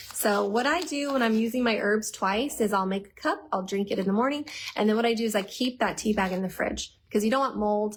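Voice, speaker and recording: An animated, somewhat breathy woman's voice, fairly high with ordinary pitch variation, at a fairly quick pace. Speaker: herbal health educator. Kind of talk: live Q&A stream. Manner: fast.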